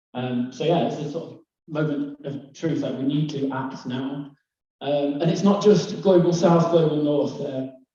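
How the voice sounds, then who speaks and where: A man with a Lancashire accent speaks at a fairly high pitch and a moderate pace. His pitch varies in an ordinary way, and the room echo is audible. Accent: northern English (Lancashire). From northwest England, Lake District / East Lancashire. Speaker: conference speaker, climate and bamboo entrepreneur. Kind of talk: presentation to live audience. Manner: hesitant, many fillers.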